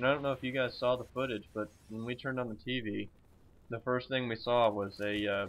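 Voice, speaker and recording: Mumbling at a fairly quick pace, a man with an American accent keeps his intonation fairly even. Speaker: gaming commentator. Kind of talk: gameplay commentary. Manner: halting.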